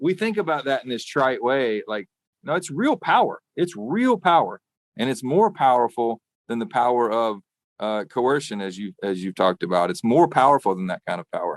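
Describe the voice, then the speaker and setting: Speaking with a Southern US accent, a man uses a medium pitch with very wide pitch swings at a fairly quick pace. The sound is dry and close with no echo, and the background is quiet. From US South, rural Arkansas. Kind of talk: podcast interview. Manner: conversational, with fillers and restarts.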